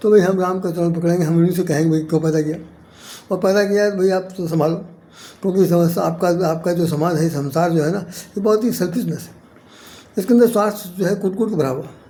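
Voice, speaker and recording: A man's high voice at a moderate pace, fairly even in intonation, with audible room echo. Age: 70s. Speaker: poet and spiritual commentator. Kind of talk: spiritual talk to camera. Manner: repetitive, halting.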